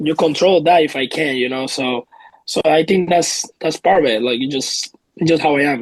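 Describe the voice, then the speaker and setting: Ordinary pitch variation in a Puerto Rican accent. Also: man, fairly high pitch for a man, moderate pace. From Puerto Rico. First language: Spanish. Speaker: professional baseball player. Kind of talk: interview.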